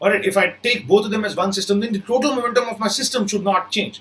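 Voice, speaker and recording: A man with an Indian accent, a high pitch, and a fairly quick pace. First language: Hindi. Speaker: physics teacher for exam prep. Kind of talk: online live lecture. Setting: live online class.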